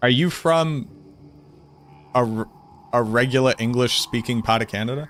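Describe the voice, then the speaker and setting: A man with a Boston accent at a medium pitch, with long, frequent pauses. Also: ordinary pitch variation, moderate pace. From US Northeast, Boston. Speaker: video game streamer. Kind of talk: casual chat. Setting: live stream. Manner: animated.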